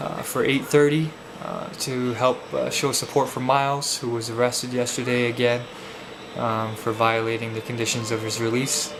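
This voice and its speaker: Over noticeable background noise and audible room echo, a man talks at a moderate pace and medium pitch with fairly even intonation. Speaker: vlogger and protester. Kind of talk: video blog. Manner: slurred; halting.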